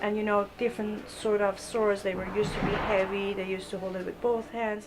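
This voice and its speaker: Over music in the background, a woman in a Persian accent speaks at a medium pitch and a fairly quick pace with monotone, flat intonation. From Iran. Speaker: fencing coach. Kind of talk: interview. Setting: fencing club. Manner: halting.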